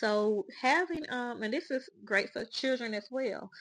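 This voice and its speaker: With a Southern US accent, a woman is talking. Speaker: spiritual podcast host. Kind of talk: casual monologue. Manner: halting, with fillers.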